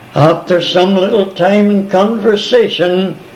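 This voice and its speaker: A man speaks at a high pitch and a very slow pace. Audible room echo and noticeable background noise are present. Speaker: missionary. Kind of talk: oral history storytelling. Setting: multi-purpose room of retirement home. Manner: animated; confident. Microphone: old cassette recording with tape crackle.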